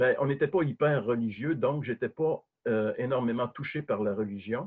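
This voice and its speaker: Here a man talks at a moderate pace. His pitch is medium, with ordinary variation. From Quebec. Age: 60s. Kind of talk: testimony. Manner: hesitant, many fillers.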